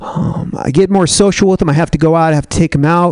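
Noticeable background noise sits behind a man with a high-pitched voice. He speaks at a very fast pace. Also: dry, close sound with no echo. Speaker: stand-up comedian. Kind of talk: stand-up. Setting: stage with audience.

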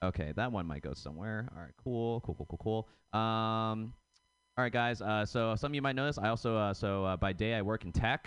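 A man talks with an unremarkable speaking voice. His pitch is medium, the tempo moderate, and the pitch moves in a normal way. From suburb outside Boston, Massachusetts. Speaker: stand-up comedian. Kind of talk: stand-up.

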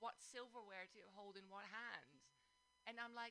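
Speaking with a Dutch accent, a woman uses a fairly high-pitched voice. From Netherlands, Amsterdam. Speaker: guest. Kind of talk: casual chat. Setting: studio.

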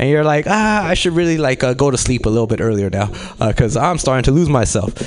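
A man's voice with noticeable background noise. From Los Angeles. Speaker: comedy show host. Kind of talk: stand-up emcee. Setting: stage with audience.

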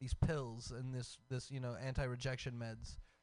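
A man with an American accent at a moderate pace. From Texas. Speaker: radio host. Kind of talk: casual chat. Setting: studio. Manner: animated.

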